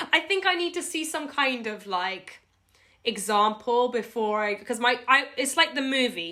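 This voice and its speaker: In a British accent, a woman speaks at a fairly slow pace with a high, bright, sharp tone, sounding animated as her pitch swings very widely. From UK. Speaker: video blogger. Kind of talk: casual interview.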